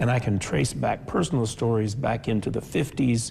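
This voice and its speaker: A man talks at a moderate pace in a somewhat breathy voice of medium pitch, with ordinary pitch variation. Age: 60s. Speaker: author and civic leader. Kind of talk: interview.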